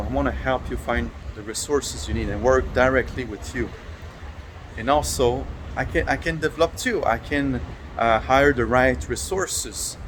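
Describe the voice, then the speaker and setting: Over noticeable background noise, a man talks with a French accent. His pace is moderate. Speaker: software developer. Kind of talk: talking to camera about his business. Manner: halting, many fillers and repetitions.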